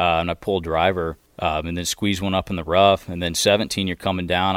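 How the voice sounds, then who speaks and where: A man with a very deep, low pitch talks at a fairly quick pace in a monotone, flat intonation. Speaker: college golfer. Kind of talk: interview.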